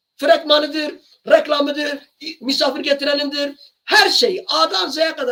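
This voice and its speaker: A man's raised, projected voice, extremely high-pitched with a bright, sharp tone. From Kurdish region of Turkey. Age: 60s. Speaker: singer and channel owner. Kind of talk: monologue to camera. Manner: impassioned; sometimes raises voice.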